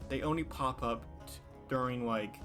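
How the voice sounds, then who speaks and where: Music plays behind a man speaking at a medium pitch. His pitch swings very widely. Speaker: gaming content creator. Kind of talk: casual video game commentary.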